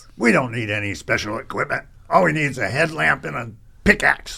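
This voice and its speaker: A raspy put-on character voice rattles along at a fairly quick pace. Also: man, medium pitch for a man. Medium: audio drama. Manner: brusque, impatient.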